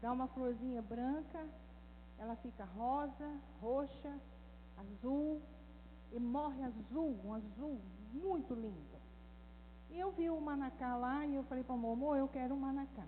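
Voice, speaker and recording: Heard with audible room echo, the speech moves at a fairly slow pace with long, frequent pauses and ordinary pitch variation. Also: woman, high pitch for a woman. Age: 60s. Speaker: women's ministry speaker, former missionary. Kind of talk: talk. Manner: animated.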